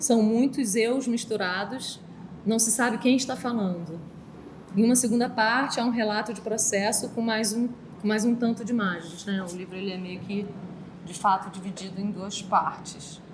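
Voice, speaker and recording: A soft-spoken voice at a moderate pace with ordinary pitch variation, amid audible room echo and noticeable background noise. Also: woman, fairly high pitch for a woman. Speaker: artist. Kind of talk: talk reading from text.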